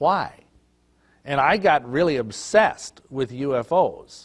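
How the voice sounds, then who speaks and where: A man with an American accent, fairly high pitch and lively intonation, in a very clean recording with a silent background. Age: 50s. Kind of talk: testimony. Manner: halting.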